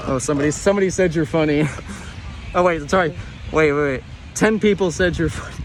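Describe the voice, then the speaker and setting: Over music in the background, a man with a fairly high voice speaks very fast but leaves long, frequent pauses. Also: ordinary pitch variation. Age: 20s. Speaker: youtuber. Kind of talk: live stream chat.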